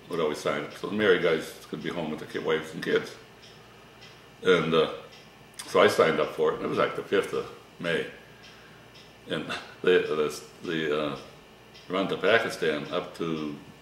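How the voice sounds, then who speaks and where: Moderate pace broken by long, frequent pauses, with audible room echo and light background noise. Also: man. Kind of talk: interview answer. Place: kitchen.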